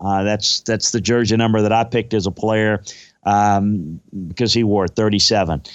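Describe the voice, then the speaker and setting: A man with fairly low pitch and an unremarkable speaking voice talks at a moderate pace with fairly even intonation. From Louisiana, US South. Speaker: football scout and analyst. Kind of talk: casual sports talk, podcast interview.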